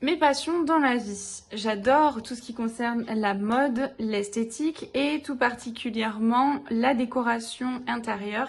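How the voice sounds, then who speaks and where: With a southern French accent, a woman speaks very slowly at a fairly high pitch with ordinary pitch variation, over noticeable background noise. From southern France. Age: 20s. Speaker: DIY YouTuber, teacher. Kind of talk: channel introduction video.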